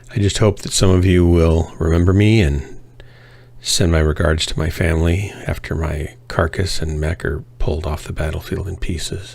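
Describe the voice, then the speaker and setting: Noticeable background noise sits behind a man speaking at a very deep, low pitch. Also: fairly even intonation, moderate pace. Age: 60s. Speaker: gaming livestreamer. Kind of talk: casual chat.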